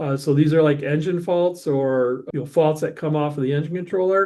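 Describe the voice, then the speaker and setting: A man's fairly high voice with fairly even intonation against a quiet background. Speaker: software trainer. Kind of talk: webinar software demo. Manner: fast; casual, halting with self-corrections.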